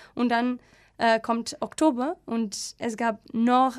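In a very clean recording with a silent background, a woman with a Portuguese accent speaks very slowly at a high pitch. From Portugal, Alcobaça (west coast). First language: Portuguese (speaking German). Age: 30s. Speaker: environmental NGO worker. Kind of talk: radio interview. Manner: halting, many fillers and repetitions.

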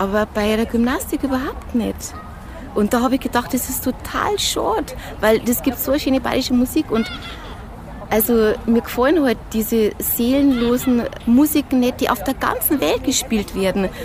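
The voice moves at a moderate pace with ordinary pitch variation. Noticeable background noise runs underneath. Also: woman, high pitch for a woman. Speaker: fitness instructor. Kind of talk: interview. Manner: animated.

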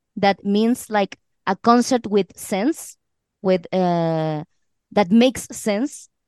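Speaking at a very slow pace with a Chilean accent, a woman uses medium pitch, ordinary pitch variation and a dark, mellow tone, in a dry, close sound with no echo against a quiet background. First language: Spanish. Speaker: actress and singer in a band. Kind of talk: casual interview. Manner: halting, with fillers.

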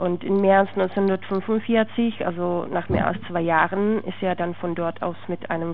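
Noticeable background noise accompanies a woman whose pitch is medium. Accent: Czech. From Czech Republic. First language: Czech (speaking German). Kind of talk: interview testimony.

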